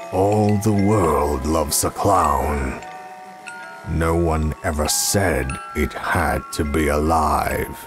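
Over background music, a man with a very deep, low pitch speaks very slowly, with ordinary pitch variation and very even loudness. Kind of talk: movie trailer.

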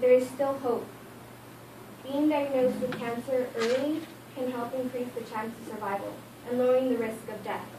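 Amid noticeable background noise, a woman with a high pitch talks at a moderate pace in a monotone, flat intonation, leaving long, frequent pauses. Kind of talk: informative speech. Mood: earnest, somewhat nervous. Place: classroom. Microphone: camera far.

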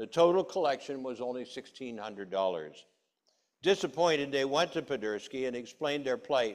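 With little behind him but a quiet background, a man talks. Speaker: preacher. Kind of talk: sermon. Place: church.

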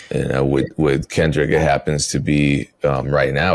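The speaker talks with an American accent. The pace is moderate. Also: man. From US Midwest, Wisconsin. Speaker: music producer and podcast host. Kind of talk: casual chat.

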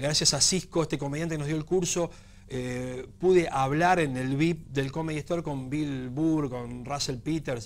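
With a Rioplatense accent, a man speaks at a fairly high pitch and a fairly slow pace. His intonation stays fairly even. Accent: Argentine Rioplatense Spanish. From Argentina. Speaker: stand-up comedian. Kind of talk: TV interview. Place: studio. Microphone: lapel.

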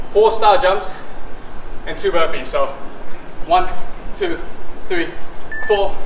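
Amid noticeable background noise, a man with a high pitch speaks with long, frequent pauses. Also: ordinary pitch variation. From Malaysia. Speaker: fitness instructor. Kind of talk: guided high-intensity workout class, barking cues and rep counts. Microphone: camera far.

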